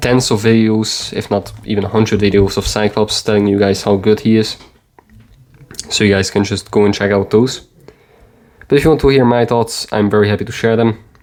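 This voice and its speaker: Delivered at a fairly quick pace with a European accent, the speech has monotone, flat intonation, very even loudness, and long, frequent pauses. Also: man, fairly low pitch for a man. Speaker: mobile game video creator. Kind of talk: gameplay commentary. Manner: halting.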